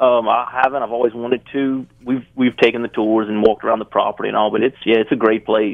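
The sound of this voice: In a Louisiana accent, a man talks at a fast pace, fairly low-pitched with vocal fry and monotone, flat intonation. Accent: Southern US, Louisiana.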